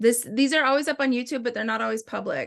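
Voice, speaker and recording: A woman's voice with vocal fry. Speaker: essential oil sales presenter. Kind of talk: product tutorial. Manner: fast; casual, chatty.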